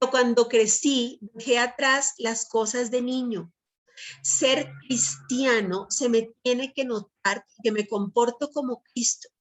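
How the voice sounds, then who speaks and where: At a very slow pace, a woman with a Colombian accent talks at a fairly high pitch with ordinary pitch variation. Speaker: Bible teacher. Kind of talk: sermon.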